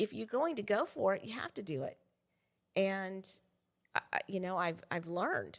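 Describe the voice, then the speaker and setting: Speech moves at a moderate pace with lively intonation. Long pauses come often. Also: woman, medium pitch for a woman. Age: 60s. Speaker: real estate teacher. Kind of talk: interview.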